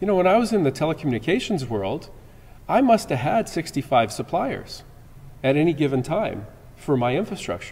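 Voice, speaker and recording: A man with a Canadian accent talks at a fairly quick pace in a fairly high, somewhat breathy voice. His pitch swings very widely. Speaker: security conference presenter. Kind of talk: conference talk. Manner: halting, many repetitions.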